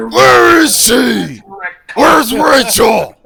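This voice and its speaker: A man uses a put-on character voice that is raspy, raised and projected. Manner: menacing, gruff.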